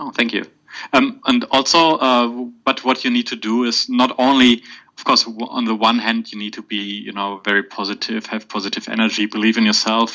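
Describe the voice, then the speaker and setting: A man with a German accent talks at a fairly quick pace, his medium-pitched voice keeping a fairly even intonation. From Germany. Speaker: podcast guest, exam candidate. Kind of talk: podcast interview. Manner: halting, many fillers.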